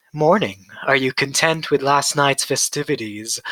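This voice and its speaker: A man puts on a character voice at a fairly high pitch. He keeps a moderate pace. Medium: read story. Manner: sleepy.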